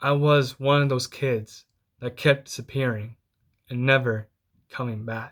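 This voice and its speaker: Very clean and set against a silent background, the recording has a man of medium pitch speaking fairly slowly in a flat monotone with long, frequent pauses. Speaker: inspirational speaker. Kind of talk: speech competition storytelling. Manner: halting, repeats words.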